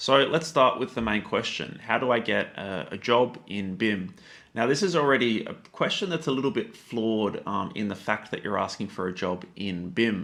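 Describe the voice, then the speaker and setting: A man speaks with an Australian accent. He barely pauses at all. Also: medium pitch for a man, lively intonation. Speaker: YouTube tutorial creator. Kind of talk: educational talk to camera. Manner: fast; casual with many fillers.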